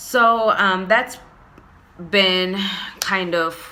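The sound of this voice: Very slow speech with a bright, sharp tone shows ordinary pitch variation. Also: woman, medium pitch for a woman.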